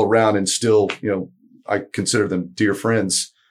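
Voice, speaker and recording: A man speaks in a flat monotone on a very clean recording with a silent background. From Florida (Tampa, Lakeland), born in Argentina. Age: 50s. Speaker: author, musician and teacher. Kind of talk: casual interview. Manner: halting, many fillers.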